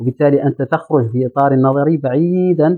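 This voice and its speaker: Using a normal speaking voice, a man talks at a fairly high pitch and moderate pace with fairly even intonation. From Mauritania, Nouakchott. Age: 30s. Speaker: journalist and entrepreneur. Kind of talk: interview. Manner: formal.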